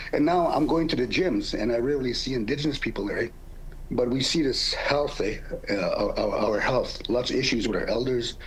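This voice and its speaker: A man talks fairly quickly, his voice carrying audible room echo over noticeable background noise. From Canada, First Nations (Cree). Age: 60s. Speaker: comedian. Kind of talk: interview. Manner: halting, many fillers and repeats.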